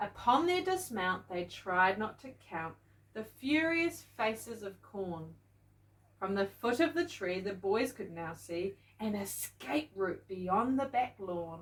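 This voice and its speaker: A woman speaks very slowly, with a New Zealand accent and a medium pitch. Her voice is somewhat breathy and swings very widely in pitch. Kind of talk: bedtime children's story reading.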